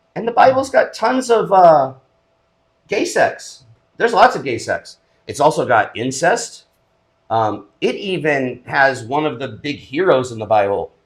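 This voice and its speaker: A man's fairly high voice with vocal fry, very wide pitch swings and big swings in loudness. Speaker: podcast co-host. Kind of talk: casual chat. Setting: home studio.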